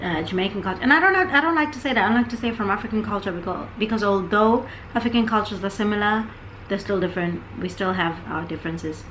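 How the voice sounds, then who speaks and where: Against noticeable background noise and audible room echo, a woman talks at a medium pitch with ordinary pitch variation. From South Africa, Johannesburg until 13, then York, England. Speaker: podcast co-host. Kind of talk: casual chat.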